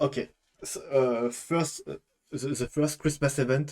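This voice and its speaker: Music plays in the background as the speaker talks in a strong French accent. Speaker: gaming YouTuber. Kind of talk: casual talk to camera. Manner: hesitant, many fillers.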